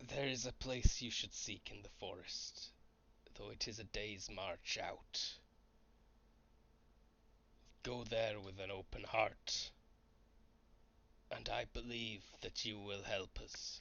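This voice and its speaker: In a raspy, put-on character voice of medium pitch, a man speaks at a fairly slow pace with fairly even intonation and long, frequent pauses. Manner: whispering.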